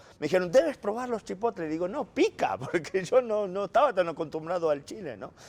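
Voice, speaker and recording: With lively intonation, a man's voice comes through a very clean recording against a silent background. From Argentina. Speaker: journalist, Vatican correspondent. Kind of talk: casual interview over a meal.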